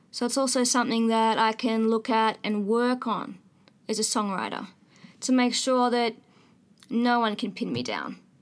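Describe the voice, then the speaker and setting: A woman's fairly high voice keeps a monotone, flat intonation at a moderate pace with long, frequent pauses. The recording is very clean with a silent background. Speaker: singer-songwriter. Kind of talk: casual interview conversation. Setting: studio. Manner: disjointed phrasing, halting.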